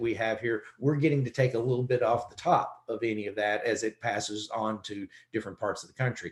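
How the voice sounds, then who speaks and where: Ordinary pitch variation marks this man's somewhat breathy voice. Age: 60s. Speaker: economist. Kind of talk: webinar presentation. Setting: webinar.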